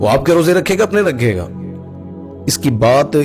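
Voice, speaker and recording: With music in the background, a man's speech has lively intonation. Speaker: Islamic scholar. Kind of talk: religious sermon.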